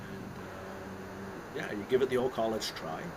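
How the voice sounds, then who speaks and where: A man speaks with a Canadian accent at a medium pitch. Audible room echo and noticeable background noise surround him. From Canada. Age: 60s. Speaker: investment consultant and author. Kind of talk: casual interview chat. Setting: live stream interview. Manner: conversational with many fillers and restarts.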